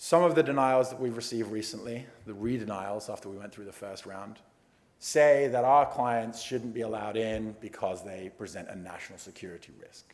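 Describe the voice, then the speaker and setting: A man with an English accent talks at a fairly quick pace. His pitch varies in an ordinary way, while his loudness swings widely. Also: medium pitch for a man. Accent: English accent noticeable. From England. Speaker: immigration attorney. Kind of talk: award acceptance speech.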